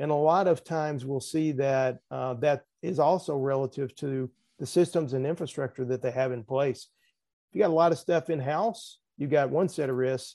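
A man with a Southern US accent, fairly high pitch, dark, mellow tone, ordinary pitch variation and moderate pace, over a quiet background. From US South. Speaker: risk management expert. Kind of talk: casual interview.

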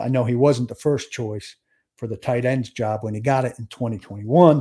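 In a very clean recording with a silent background, a man speaks at a moderate pace in a dark, mellow tone. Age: 50s. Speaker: sports podcast host. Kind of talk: solo podcast commentary.

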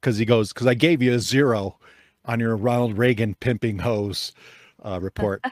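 With an American accent, a man at a medium pitch speaks in an animated tone at a moderate pace, the sound dry and close with no echo. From Chicago area, US Midwest. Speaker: podcast host. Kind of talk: casual chat. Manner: joking, animated.

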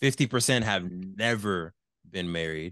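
A man talks in a very deep, low voice with an American accent. The background is quiet. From US West Coast, Los Angeles area. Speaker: entrepreneur, board game founder. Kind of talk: casual interview.

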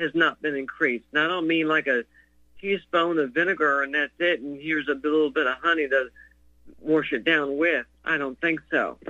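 A man with an unremarkable speaking voice, fairly high in pitch, at a moderate pace with fairly even intonation. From North Carolina. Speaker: caller. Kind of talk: call-in talk show. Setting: phone call.

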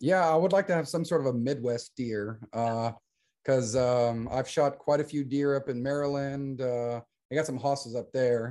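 Against a quiet background, a man speaks fairly slowly at a medium pitch with a dark, mellow tone. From US military family raised in Germany. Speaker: shooting competition coordinator and army veteran. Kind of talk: casual interview chat.

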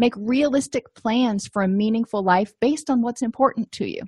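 A plain, everyday voice: a woman's fairly high pitch, fairly quick pace and ordinary pitch variation, in a dry, close sound with no echo. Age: 40s. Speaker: therapist and podcast host. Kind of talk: educational podcast lecture.

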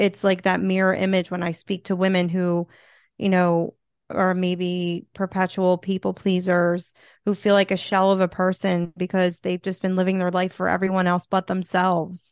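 In a Philadelphia accent, a woman talks at a moderate pace and medium pitch. Her intonation is monotone and flat against a quiet background. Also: dry, close sound with no echo. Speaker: TV host, author and motivational speaker. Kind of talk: casual interview chat.

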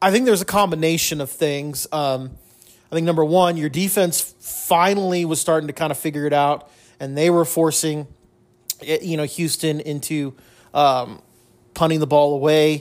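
Using a plain, everyday voice, a man talks at a moderate pace and fairly high pitch with fairly even intonation. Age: 40s. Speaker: sports podcast host. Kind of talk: solo sports recap. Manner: casual, many fillers.

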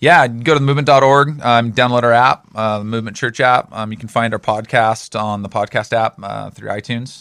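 In an unremarkable speaking voice, a man of medium pitch talks at a moderate pace with hardly any pauses, fairly even intonation and big swings in loudness. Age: 40s. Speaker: pastor. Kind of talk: casual chat.

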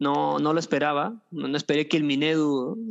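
The speaker is a man. His pitch sits fairly high. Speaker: rapper and history teacher. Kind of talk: casual interview. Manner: halting, many fillers.

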